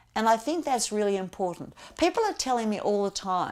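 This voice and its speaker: On a very clean recording with a silent background, a woman's intonation is lively. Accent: Australian. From Australia, Melbourne. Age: 60s. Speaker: political candidate. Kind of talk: campaign talk to camera.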